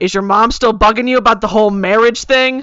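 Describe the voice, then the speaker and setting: A put-on character voice, female-sounding, with a fairly high pitch and a fairly quick pace. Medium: read story. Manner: playful, teasing, blunt.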